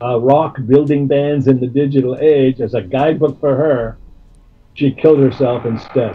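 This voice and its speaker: A man's medium-pitched voice at a moderate pace, fairly even intonation, music in the background. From Canada. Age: 70s. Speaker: music manager. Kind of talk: interview. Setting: phone call. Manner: halting.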